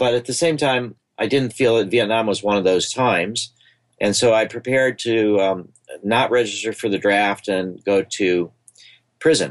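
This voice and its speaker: Speaking with an American accent, this voice keeps a moderate pace and ordinary pitch variation. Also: man, medium pitch for a man. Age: 60s. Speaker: psychedelic researcher, nonprofit founder. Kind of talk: podcast interview. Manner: hesitant, with filler words.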